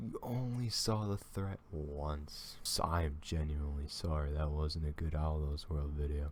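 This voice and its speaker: A dark, mellow tone comes through at a very slow pace. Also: man. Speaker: reaction video creator. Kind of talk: reaction commentary.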